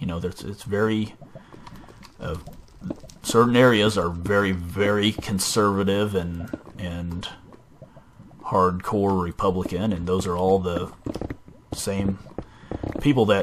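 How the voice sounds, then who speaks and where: In an American accent, the speaker talks at a fairly slow pace with long, frequent pauses. The intonation stays fairly even over noticeable background noise. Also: man, fairly low pitch for a man. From US Midwest, border state. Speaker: gaming YouTuber. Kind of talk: casual gameplay commentary. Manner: halting, many fillers.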